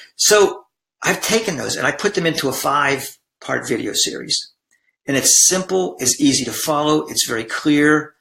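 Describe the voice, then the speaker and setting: Lively intonation and vocal fry mark a man's fairly high voice, which has a bright, sharp tone. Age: 60s. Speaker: blended family coach and former attorney. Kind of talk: sales pitch. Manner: halting.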